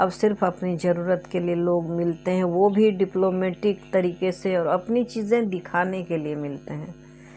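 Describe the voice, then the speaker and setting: Music plays in the background as a woman at medium pitch speaks with hardly any pauses. Her intonation is fairly even. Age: 60s. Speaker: storyteller. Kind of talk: storytelling with personal reminiscence. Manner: halting, with fillers.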